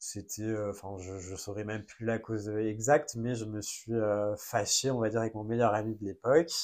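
Over a very clean recording with a silent background, a man with an unremarkable speaking voice talks at a moderate pace, with a fairly low pitch, fairly even intonation and hardly any pauses. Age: 20s. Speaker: content creator. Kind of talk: personal testimony in a casual interview.

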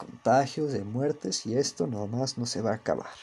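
In a Mexico City accent, a man speaks at a medium pitch. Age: young. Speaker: podcaster. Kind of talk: casual monologue. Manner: monotone.

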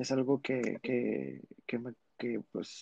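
A man with medium pitch speaks with fairly even intonation. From Monterrey, Mexico. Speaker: drag artist. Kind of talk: casual chat.

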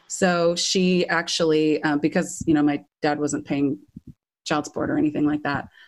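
A woman's very deep, low voice in a Californian accent, at a moderate pace with monotone, flat intonation. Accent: Californian American. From US West Coast, Orange County, California. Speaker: professional backing singer. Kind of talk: interview.

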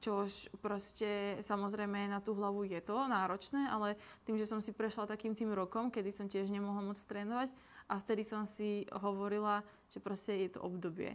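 The speaker's delivery is monotone and flat. Their pace stays moderate. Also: woman, medium pitch for a woman. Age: 20s. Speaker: nutrition coach and content creator. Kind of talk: casual interview.

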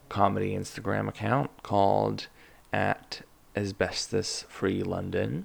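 A man speaks at a slow pace. His voice has vocal fry.

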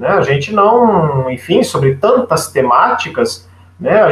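A man speaks with a high pitch and very wide swings in his pitch. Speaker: journalist and communication researcher. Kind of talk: radio interview.

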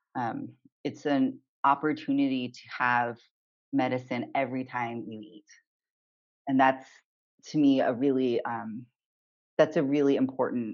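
A man with an American accent, fairly slow and flat in a monotone, with long, frequent pauses. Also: medium pitch for a man, big swings in loudness. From US West Coast, Southern California. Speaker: acupuncturist and healer. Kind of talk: interview conversation.

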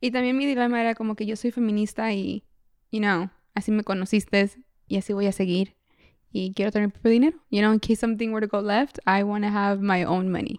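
A woman with a normal speaking voice talks at a fairly quick pace and medium pitch with fairly even intonation, the sound dry and close with no echo over a quiet background. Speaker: podcast co-host. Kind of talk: casual chat. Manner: code-switching between Spanish and English.

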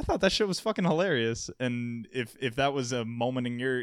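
In a very clean recording with a silent background, a man speaks at a fairly quick pace in a plain, everyday voice, medium in pitch. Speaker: podcast host. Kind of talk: casual chat.

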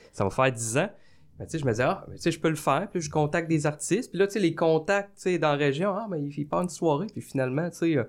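This man has a fairly high pitch and a plain, everyday voice. He talks at a fairly quick pace with ordinary pitch variation. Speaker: comedian and college teacher. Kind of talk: casual chat. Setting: studio.

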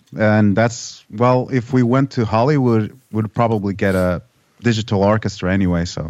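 With a non-native accent, a man talks at a moderate pace in a fairly low pitch with ordinary pitch variation over a quiet background. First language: not English. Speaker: metal musician. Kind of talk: interview.

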